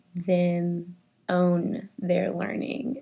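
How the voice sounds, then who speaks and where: A somewhat breathy voice with a dark, mellow tone and an American accent speaks at a very slow pace in a very clean recording with a silent background. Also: woman. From Texas, Richardson. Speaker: first grade teacher. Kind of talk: interview.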